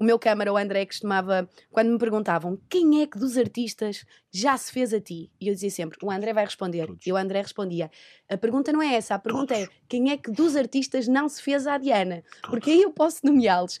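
A normal speaking voice with lively intonation and big swings in loudness. The recording is very clean with a silent background, and the sound is dry and close with no echo. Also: woman, fairly high pitch for a woman, fairly quick pace. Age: 20s. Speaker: TV presenter. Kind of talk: casual chat.

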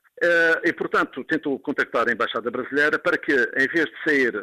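A man's voice, dry and close with no echo. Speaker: former footballer. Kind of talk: interview testimony. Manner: halting, many fillers.

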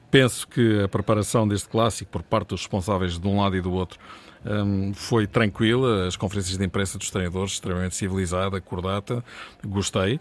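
Speaking fairly quickly in an unremarkable speaking voice, a man talks at a fairly low pitch with fairly even intonation. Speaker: football commentator. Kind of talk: radio panel discussion.

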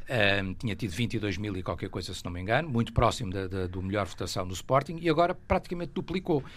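A man at a very fast pace, fairly low in pitch, with very wide pitch swings. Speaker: football pundit, club fan. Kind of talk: radio debate.

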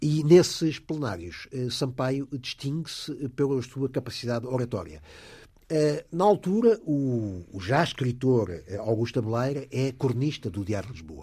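Against a quiet background, a man of medium pitch speaks at a fairly slow pace with a dark, mellow tone, a somewhat breathy voice, lively intonation and big swings in loudness. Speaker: investigative journalist and biographer. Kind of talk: radio interview. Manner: halting, repeats words.

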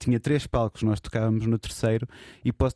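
With a European Portuguese accent, a man talks at a very fast pace in a medium pitch and dark, mellow tone, his intonation fairly even and the sound dry and close with no echo. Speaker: DJ and record label co-founder. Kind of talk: casual chat. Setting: studio.

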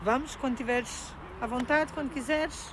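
A woman speaks at a fairly slow pace with a high pitch. Noticeable background noise is present. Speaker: mobility trainer for the blind. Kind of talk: guided training, casual conversation. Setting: outdoors in the street.

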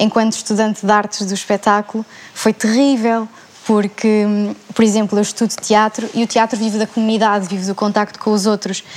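Noticeable background noise sits behind a woman speaking at a fairly quick pace. Her fairly high voice has monotone, flat intonation. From Portugal, Setúbal. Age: 20s. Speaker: theatre student. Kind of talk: panel discussion.

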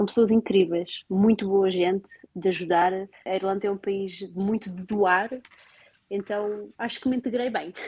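At a fairly slow pace, a woman with an unremarkable speaking voice speaks at a medium pitch with fairly even intonation. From Portugal, Lisbon area. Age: 30s. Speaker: Portuguese expatriate working in health research in Ireland. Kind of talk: interview, casual conversation about life abroad.

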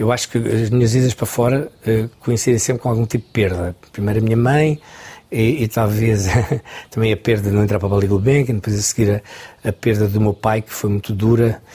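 At a fairly quick pace, a man speaks in a medium-pitched, somewhat breathy voice with a dark, mellow tone. His loudness swings widely. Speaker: choreographer. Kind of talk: interview.

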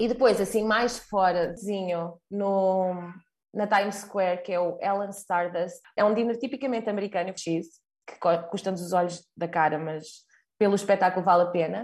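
A woman uses an ordinary speaking voice at a moderate pace with fairly even intonation, set against a quiet background. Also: medium pitch for a woman. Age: 30s. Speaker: marketing professional sharing travel experience. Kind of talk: casual travel testimony.

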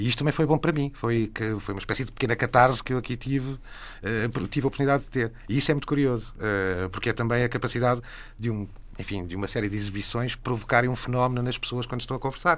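Very fast talk from a man at medium pitch, in a very clean recording with a silent background. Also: ordinary pitch variation. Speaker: television channel director. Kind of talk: radio panel discussion.

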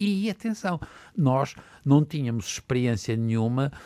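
The recording is very clean with a silent background. A man speaks at a fairly high pitch with very wide pitch swings. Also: dry, close sound with no echo. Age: 60s. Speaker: physician. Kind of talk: panel discussion.

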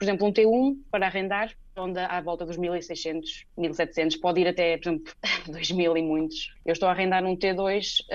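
In a plain, everyday voice, a woman speaks at a moderate pace and medium pitch, with ordinary pitch variation against a quiet background. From Portugal. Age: 20s. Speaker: PhD researcher in oncology. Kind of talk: radio interview.

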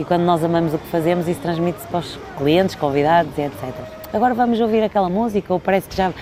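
Noticeable background noise sits behind a woman speaking at a very fast pace, her medium pitch showing ordinary pitch variation. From Portugal. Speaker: event host and entertainer. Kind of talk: interview. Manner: animated.

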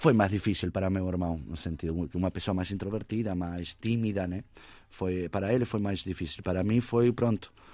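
Very deep and low, a man's voice with a dark, mellow tone moves at a fairly quick pace with ordinary pitch variation in a very clean recording with a silent background. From Uruguay. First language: Spanish (speaking Portuguese). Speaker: musician. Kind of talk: casual chat.

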